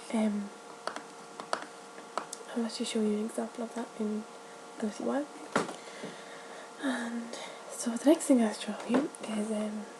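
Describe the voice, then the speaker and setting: A soft-spoken woman talks at a moderate pace and a fairly high pitch, her intonation monotone and flat, with noticeable background noise behind her. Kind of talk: ASMR roleplay as an art shop assistant.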